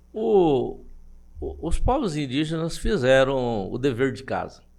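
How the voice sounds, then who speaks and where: Amid audible room echo, a man with a fairly high pitch talks at a very slow pace, with very wide pitch swings and big swings in loudness. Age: 70s. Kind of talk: interview. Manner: halting.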